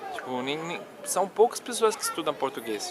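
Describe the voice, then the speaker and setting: Noticeable background noise is present. A man speaks over it. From Colombia, Medellín. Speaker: language learning YouTuber. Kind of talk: personal vlog storytelling. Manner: casual, hesitant with repetitions.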